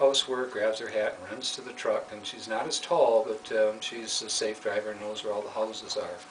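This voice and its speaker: Over noticeable background noise, a man talks at a fairly quick pace with hardly any pauses and big swings in loudness. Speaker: puppeteer, former school developmental counselor. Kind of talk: children's story reading.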